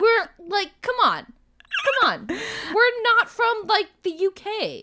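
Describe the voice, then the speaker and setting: A woman's raised, projected voice with an American accent, extremely high in pitch, very slow, with ordinary pitch variation. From United States. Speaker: podcast co-host. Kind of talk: casual chat.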